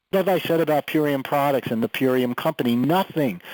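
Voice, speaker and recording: In a dry, close recording with no echo, a man talks at a moderate pace. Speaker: network marketing leader. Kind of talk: training call. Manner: animated.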